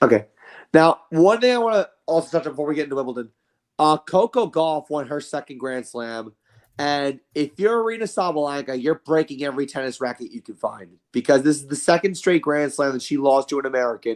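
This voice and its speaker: With a fairly high pitch and a fairly quick pace, a man talks in lively intonation and big swings in loudness, the sound dry and close with no echo. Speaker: sports podcast co-host. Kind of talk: casual sports discussion. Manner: fast.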